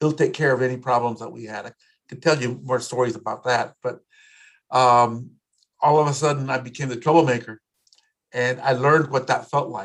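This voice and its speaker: Speaking at a fairly quick pace yet with long, frequent pauses, a man of medium pitch uses fairly even intonation and big swings in loudness against a quiet background. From South Texas, Corpus Christi. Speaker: community leader and activist. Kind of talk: interview.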